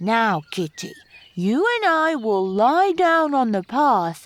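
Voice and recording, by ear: A female-sounding, put-on character voice is pitched high and swings very widely. It moves at a very slow pace.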